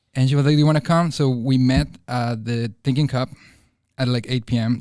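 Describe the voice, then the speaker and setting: A man speaks at a moderate pace in a Spanish accent, with medium pitch and fairly even intonation. The recording is very clean, with a silent background. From Bolivia. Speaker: nightlife marketing coordinator. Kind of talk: casual chat.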